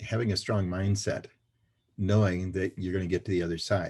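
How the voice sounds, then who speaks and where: Long, frequent pauses break up a man's very deep, low, somewhat breathy voice, delivered in a monotone, flat intonation. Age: 70s. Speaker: financial services trainer and speaker. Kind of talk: interview.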